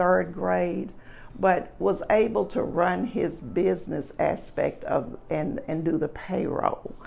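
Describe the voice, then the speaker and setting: In a Memphis accent, a woman speaks at a very slow pace. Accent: Southern US (Memphis). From US South, Memphis, Tennessee. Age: 60s. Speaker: interviewee recalling civil rights era. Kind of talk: personal oral history interview. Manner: hesitant with frequent fillers.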